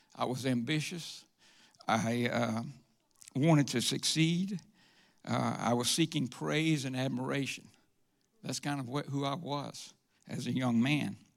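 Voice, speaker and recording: A man with a Southern US accent speaks at a medium pitch and a fairly slow pace, with ordinary pitch variation and long, frequent pauses, on a very clean recording with a silent background. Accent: Southern US (Georgia). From US South (Georgia, Atlanta area). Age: 70s. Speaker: church member giving testimony. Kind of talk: testimony. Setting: church stage with congregation. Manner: halting, with frequent uh.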